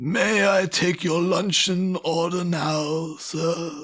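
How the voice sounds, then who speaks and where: A man puts on a high-pitched character voice, speaking very slowly with fairly even intonation. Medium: stage play. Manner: formal, deferential.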